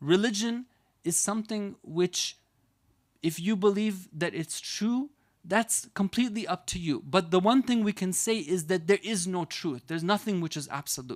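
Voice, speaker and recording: High pitch from a man with an American accent, ordinary pitch variation and a moderate pace, in a very clean recording with a silent background. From United States. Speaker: Islamic scholar and preacher. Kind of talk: religious lecture.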